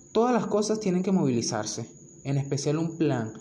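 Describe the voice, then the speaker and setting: The room echo is clearly audible. A man speaks at a fairly quick pace. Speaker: podcast host. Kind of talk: casual chat.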